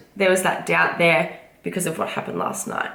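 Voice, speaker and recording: Audible room echo surrounds a woman speaking at a moderate pace with a medium pitch. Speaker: vlogger and fitness competitor. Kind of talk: casual vlog talk to camera.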